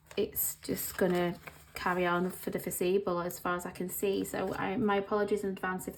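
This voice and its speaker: This woman talks at a fairly quick pace in a medium pitch, with an English accent and flat, monotone intonation. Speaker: planner vlogger. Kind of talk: casual vlog talk. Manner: halting, many pauses.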